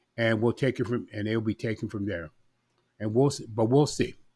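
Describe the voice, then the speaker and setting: The voice has a dark, mellow tone and is somewhat breathy. It moves at a moderate pace with ordinary pitch variation. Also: man. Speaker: podcast host. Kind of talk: solo podcast monologue.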